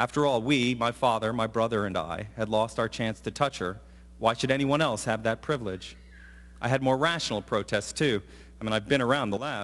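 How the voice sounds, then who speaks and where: On a very clean recording with a silent background, a man with a medium pitch and ordinary pitch variation speaks at a fairly quick pace. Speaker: professor and commencement speaker. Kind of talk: commencement address. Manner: fast.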